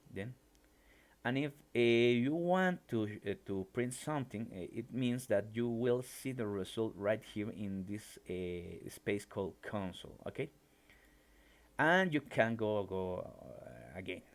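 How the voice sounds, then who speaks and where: A man speaks in a Mexican accent at a medium pitch. His delivery is fairly slow, with lively intonation. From Mexico. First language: Spanish. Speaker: mathematics professor and programming teacher. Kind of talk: live-streamed lecture. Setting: live stream. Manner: halting, many fillers.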